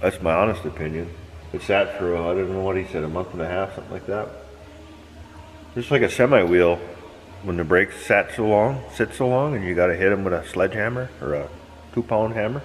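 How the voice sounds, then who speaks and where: A man speaks at a fairly quick pace in a very deep, low voice. Light background noise sits behind him. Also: ordinary pitch variation. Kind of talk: casual vlog chat. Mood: relaxed, easygoing. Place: workshop. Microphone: phone near.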